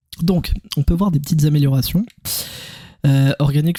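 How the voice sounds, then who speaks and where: His voice carries a dark, mellow tone. The man sounds somewhat breathy, and his intonation is fairly even. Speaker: gaming youtuber. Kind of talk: gameplay commentary. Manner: calm; casual.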